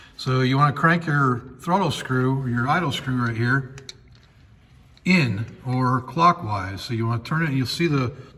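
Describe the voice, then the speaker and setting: Speaking at a moderate pace and a medium pitch, a man shows ordinary pitch variation over noticeable background noise. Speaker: car mechanic tutorial creator. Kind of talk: tutorial. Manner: casual.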